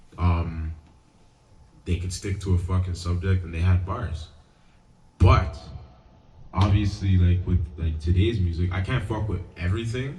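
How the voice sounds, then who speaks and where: Loud and very deep, a man's dark, mellow voice moves at a fairly slow pace with long, frequent pauses and audible room echo. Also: ordinary pitch variation. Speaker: podcast co-host. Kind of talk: casual chat. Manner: halting.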